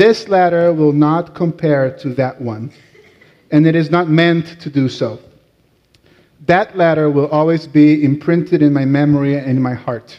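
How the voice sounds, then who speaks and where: Talking at a fairly slow pace, a man with a Latin American accent has a fairly high pitch, a dark, mellow tone and ordinary pitch variation. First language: Portuguese. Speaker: rabbi. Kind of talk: sermon.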